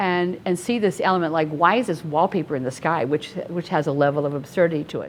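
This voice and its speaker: A woman talks at a very fast pace. She has a Midwestern American accent. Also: fairly low pitch for a woman, ordinary pitch variation, hardly any pauses. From northern Ohio (LaGrange). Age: 70s. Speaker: painter, art student. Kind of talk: interview about own artwork.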